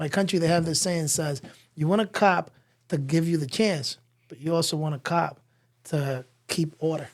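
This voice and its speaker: A man with an American accent speaks at a moderate pace, his pitch fairly high and his intonation fairly even. He leaves long, frequent pauses. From Dominican Republic and US Virgin Islands. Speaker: truck dealer. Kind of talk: casual chat. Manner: halting.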